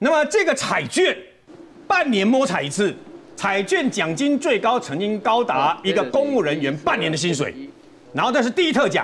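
A man with a Taiwanese accent, high pitch and very wide pitch swings at a moderate pace, over light background noise. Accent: Taiwanese Mandarin. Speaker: veteran journalist. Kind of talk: TV political talk show, storytelling; political talk show commentary. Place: studio. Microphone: lapel.

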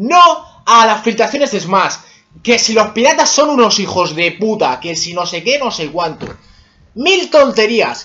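A man's raised, projected voice, high in pitch with very wide pitch swings, at a fairly slow pace. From Spain. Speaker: gaming YouTuber; gaming vlogger. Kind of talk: personal opinion monologue. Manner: casual, heated. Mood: annoyed, ranting. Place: home room. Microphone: webcam.

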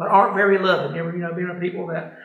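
A man talks at a very fast pace in a high voice with vocal fry and little pitch movement, and strong room echo surrounds him.

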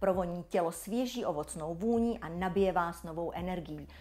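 A woman speaks at a moderate pace with an upbeat tone and lively intonation. Her voice carries vocal fry. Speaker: brand presenter. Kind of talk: infomercial. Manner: polished, upbeat sales-presenter delivery; smooth, enthusiastic, flowery, sensual product-praising tone.

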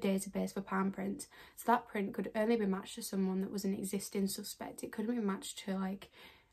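A woman talks at a very fast pace in a medium pitch. Her voice is somewhat breathy, and her intonation is monotone and flat. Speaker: true crime YouTuber. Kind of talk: true crime narration to camera.

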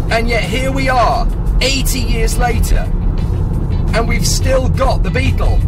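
Speech comes at a very slow pace. Loud music plays in the background. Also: man. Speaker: motorsport commentator and TV presenter. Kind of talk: presenter-style piece to camera about a car. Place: car.

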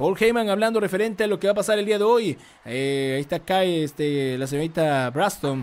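A man is shouting in an animated tone. His intonation is lively. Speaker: live stream commentator. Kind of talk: live wrestling commentary. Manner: fast, excitable play-by-play, rapid-fire action calls; animated, repetitive, shouting hype. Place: home room. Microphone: studio mic.

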